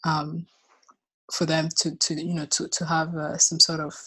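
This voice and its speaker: A woman's very deep, low pitch with vocal fry and monotone, flat intonation against a quiet background. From Rwanda. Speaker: recent philosophy graduate. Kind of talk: interview. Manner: halting, many repetitions.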